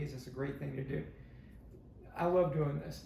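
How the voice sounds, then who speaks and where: A man with a fairly high pitch speaks at a very fast pace with fairly even intonation. There is audible room echo. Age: 70s. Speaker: stand-up comedian. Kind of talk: podcast interview.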